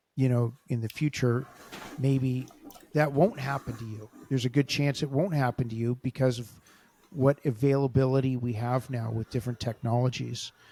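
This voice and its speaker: Over noticeable background noise, a man with an American accent talks at medium pitch and a moderate pace with fairly even intonation. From Los Angeles. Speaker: podcast host and grappling coach. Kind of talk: interview. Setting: podcast.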